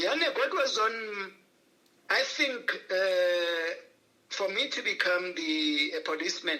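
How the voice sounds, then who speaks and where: Raising and projecting his voice, a man with a high pitch talks at a very slow pace with lively intonation amid noticeable background noise. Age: 60s. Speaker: banker and entrepreneurship consultant. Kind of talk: interview. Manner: halting.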